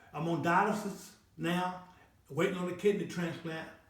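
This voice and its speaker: In a room with audible echo, a man speaks at a high pitch with ordinary pitch variation. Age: 60s. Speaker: health and wellness channel host. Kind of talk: motivational talk. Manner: repetitive, stammering restarts; preachy, sermon-like.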